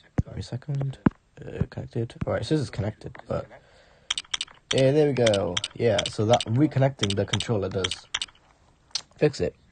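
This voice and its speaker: At a moderate pace with long, frequent pauses, a man speaks in a medium pitch with ordinary pitch variation, with noticeable background noise. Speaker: gaming streamer. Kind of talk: live gameplay stream commentary. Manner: halting.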